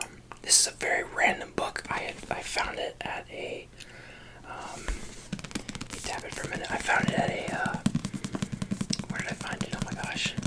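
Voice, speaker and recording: Whispering at a moderate pace with long, frequent pauses, the speaker is heard over noticeable background noise. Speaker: ASMR creator. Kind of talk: ASMR whisper talk to camera. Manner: whispered.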